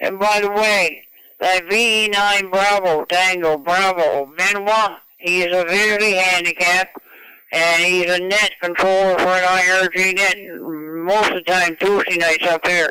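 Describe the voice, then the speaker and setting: Speaking at a fairly slow pace in a Maritime Canadian accent, a man with a high pitch uses a raised, projected voice with a bright, sharp tone, very even loudness and monotone, flat intonation. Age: 80s+. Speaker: ham radio operator. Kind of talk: radio net conversation. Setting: amateur radio transmission.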